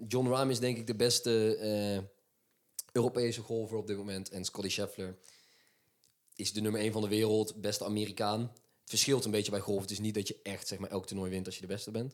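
The man's intonation stays monotone and flat as he moves at a fairly quick pace. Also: fairly low pitch for a man. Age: 20s. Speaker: podcast co-host, sports. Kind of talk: casual chat.

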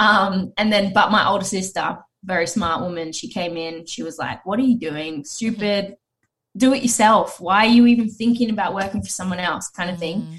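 A woman with a plain, everyday voice talks at a fairly quick pace, her medium pitch showing ordinary pitch variation. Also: big swings in loudness. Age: 30s. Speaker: talent agency founder. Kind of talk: casual chat.

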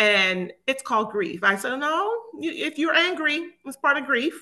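Raised and projected, a woman's voice carries a bright, sharp tone. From Miami, Florida (born in Jamaica). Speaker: grief counselor. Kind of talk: interview.

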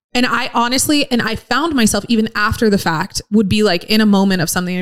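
Speaking at a very fast pace, a woman uses a medium pitch. Her pitch variation is ordinary. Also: hardly any pauses. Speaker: podcast co-host. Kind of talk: casual chat. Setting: live broadcast from a car museum. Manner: calm.

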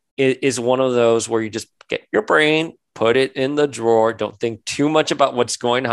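An unforced reading voice is heard. Nothing stirs in the background.

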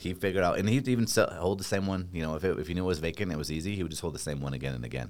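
A man with an American accent talks at a very fast pace in a very deep, low voice. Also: lively intonation. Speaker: real estate team leader. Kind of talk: casual chat.

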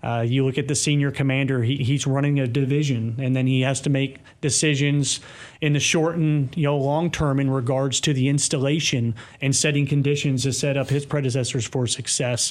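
A man with an American accent speaks at a fairly quick pace and fairly high pitch. His intonation is monotone and flat, and his loudness is very even. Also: very clean recording, silent background. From US South, Kentucky. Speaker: army sergeant major. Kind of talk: interview.

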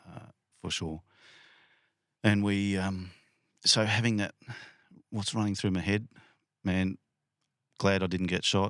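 Long, frequent pauses mark this man's fairly slow speech in an Australian accent, at a fairly low pitch with monotone, flat intonation. The recording is very clean, with a silent background and a dry, close sound with no echo. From Western Sydney, Australia. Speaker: police sergeant. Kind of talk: casual interview. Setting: inside a caravan.

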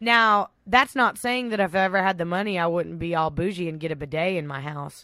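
A woman with a Texan accent speaks at a fairly quick pace in a fairly low pitch, her intonation lively, on a very clean recording with a silent background. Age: 20s. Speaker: podcast co-host. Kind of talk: casual chat; reading aloud.

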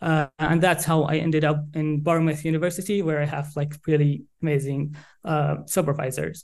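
A man with an Arabic accent, fairly high in pitch, at a moderate pace with monotone, flat intonation and hardly any pauses. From Saudi Arabia. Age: young. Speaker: PhD researcher in public diplomacy. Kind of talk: interview. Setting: remote call. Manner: halting.

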